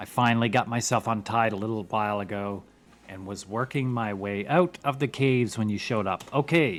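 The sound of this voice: The delivery is an unforced reading voice. Pitch variation is ordinary.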